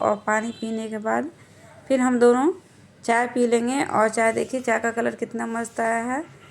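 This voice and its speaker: The speaker goes at a fairly slow pace over noticeable background noise. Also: woman. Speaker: vlogger, housewife. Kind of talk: casual vlog narration. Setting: at home, kitchen.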